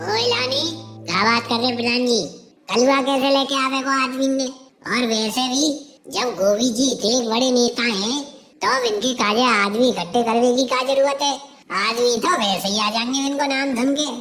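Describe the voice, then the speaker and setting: A female-sounding cartoonish character voice sits at a fairly high pitch. It moves at a moderate pace with very even loudness. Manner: excitable, rustic, boastful.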